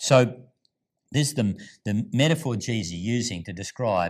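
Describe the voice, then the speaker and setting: A man at a fairly slow pace, on a very clean recording with a silent background. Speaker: pastor. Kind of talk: sermon.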